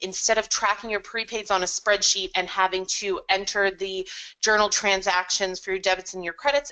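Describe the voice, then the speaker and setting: Her pace fairly quick, a woman of medium pitch speaks in a bright, sharp tone with fairly even intonation. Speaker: software consultant presenting products. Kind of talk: webinar product presentation. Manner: fast.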